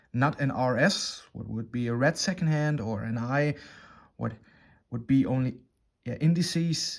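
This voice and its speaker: Speaking in a German accent, a man with a fairly high pitch uses lively intonation on a very clean recording with a silent background. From Germany. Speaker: watch reviewer. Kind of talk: product review. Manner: halting, many fillers.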